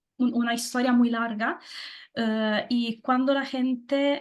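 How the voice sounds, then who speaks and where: Speaking very slowly, a woman uses a high pitch in a flat monotone. She has a strong Italian accent. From southern Italy, Naples. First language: Italian (speaking Spanish). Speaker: guest. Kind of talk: interview. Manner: halting, many fillers; loud.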